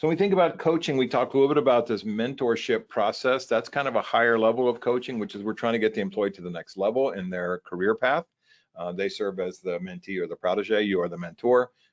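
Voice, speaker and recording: The background is quiet as a man talks at a very fast pace. His intonation is lively. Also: medium pitch for a man. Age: 60s. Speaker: workplace trainer. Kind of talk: webinar presentation. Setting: online webinar. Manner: casual with many fillers.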